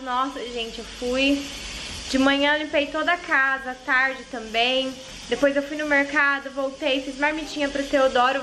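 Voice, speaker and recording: Over light background noise, a woman uses a raised, projected voice at a fairly slow pace with fairly even intonation. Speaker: vlogger mother. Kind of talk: casual vlog chat. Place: kitchen. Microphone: phone near.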